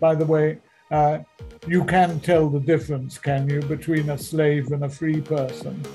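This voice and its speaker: A man's fairly high-pitched, monotone, flat delivery at a moderate pace, with music in the background. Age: 80s+. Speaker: veteran author, speaker and missionary. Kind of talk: interview answer, telling stories.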